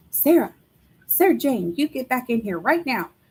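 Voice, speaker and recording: Delivered in a put-on character voice, the speech moves at a moderate pace with very wide pitch swings. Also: woman, high pitch for a woman. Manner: hollering, commanding.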